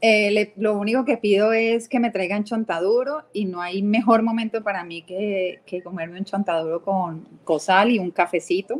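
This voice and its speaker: Delivered in a Cali accent, the speech moves at a moderate pace with ordinary pitch variation and hardly any pauses. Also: woman, medium pitch for a woman. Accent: Cali Colombian accent, unchanged. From Colombia, Cali. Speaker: TV network executive. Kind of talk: live interview.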